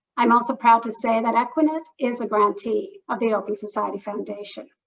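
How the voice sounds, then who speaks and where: This is a plain, everyday voice with a Canadian accent. The pace is moderate. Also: woman. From Canada. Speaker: public health program officer at a philanthropy. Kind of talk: discussant remarks at online lecture. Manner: formal.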